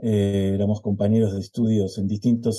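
This man's voice is fairly low in pitch, with a dark, mellow tone. He keeps a moderate pace in a monotone, flat intonation. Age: 70s. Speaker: choral conductor. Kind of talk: interview.

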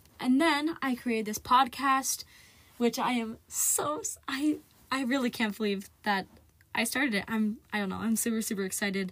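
Speech comes at a moderate pace with ordinary pitch variation. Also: woman, fairly high pitch for a woman. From US Midwest, central Ohio. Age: young. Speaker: podcast host, student climate activist. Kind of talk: solo casual podcast monologue.

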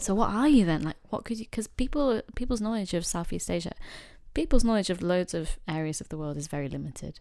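Very fast and with very wide pitch swings, a woman with a medium pitch and a dark, mellow tone speaks in a Yorkshire accent. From Yorkshire, northern England. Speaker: guest. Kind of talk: casual conversation.

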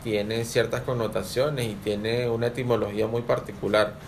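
Noticeable background noise and audible room echo. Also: man. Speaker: lodge secretary. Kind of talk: radio talk. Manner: halting, many repetitions.

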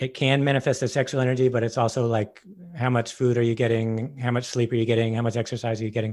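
A man speaks at a very fast pace in monotone, flat intonation with very even loudness, in a very clean recording with a silent background. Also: medium pitch for a man. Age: 40s. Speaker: podcast host. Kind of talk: casual chat.

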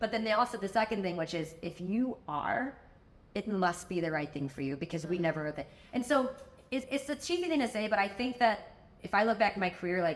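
In a plain, everyday voice, a woman talks at medium pitch and a fairly quick pace with lively intonation. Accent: American. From US Midwest, Chicago. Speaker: tech executive and entrepreneur. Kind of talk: interview conversation.

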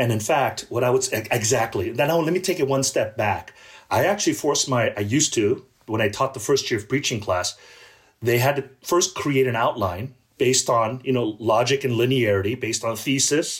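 With an American accent, a man talks at a medium pitch and a fairly quick pace, his voice somewhat breathy with ordinary pitch variation, on a very clean recording with a silent background. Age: 50s. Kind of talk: interview conversation.

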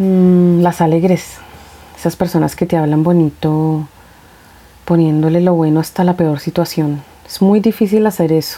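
Against noticeable background noise, a woman speaks at a fairly slow pace with a fairly low pitch, very even loudness and fairly even intonation. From Colombia, Bogotá. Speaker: podcast host. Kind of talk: casual monologue, Q&A.

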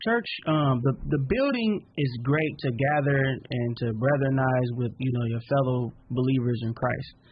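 A plain, everyday voice belongs to a man at a medium pitch with ordinary pitch variation. He talks fairly slowly with hardly any pauses. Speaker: interview host. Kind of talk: interview moderating.

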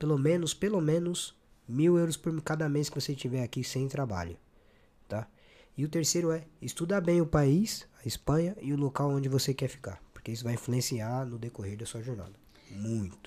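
Lively intonation marks this man's fairly high-pitched voice, which has a dark, mellow tone and a moderate pace. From Brazil, São Paulo. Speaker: podcast host. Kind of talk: casual interview. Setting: studio. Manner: animated.

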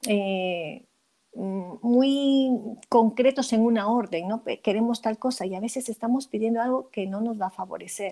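Her tone is dark and mellow, with a fairly high pitch for a woman. She speaks at a fairly slow pace. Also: ordinary pitch variation. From Peru. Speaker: midwife and author. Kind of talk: interview. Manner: halting, with frequent repetitions.

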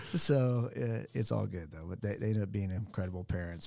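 A man with an American accent talks at a fairly quick pace in a very deep, low pitch with a dark, mellow tone. The recording is very clean, with a silent background. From Oklahoma, US. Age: 40s. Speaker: financial advisor. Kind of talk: casual interview. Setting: studio.

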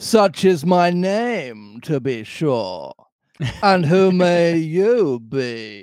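Using a put-on character voice, a man speaks very slowly at a fairly high pitch, with big pitch swings and a slightly mellow tone.

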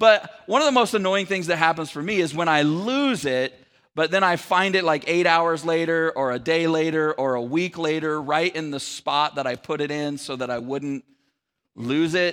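A man with an American accent has a plain, everyday voice, fairly high in pitch, with ordinary pitch variation and a moderate pace. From Sacramento area, California. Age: 40s. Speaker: pastor. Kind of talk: sermon. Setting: church.

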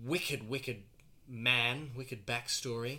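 With an Australian accent, a man talks at a medium pitch in a bright, sharp tone. His intonation stays fairly even. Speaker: podcast host. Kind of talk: casual chat.

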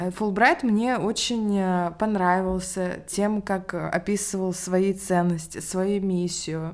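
A woman's medium-pitched voice at a very slow pace, with fairly even intonation and hardly any pauses. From Russia, Ryazan. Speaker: English teacher and education entrepreneur. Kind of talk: interview.

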